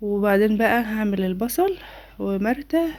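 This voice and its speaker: On a very clean recording with a silent background, a woman with an Egyptian accent speaks in a dark, mellow tone at a moderate pace. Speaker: home cooking vlogger. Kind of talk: cooking tutorial. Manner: warm, chatty.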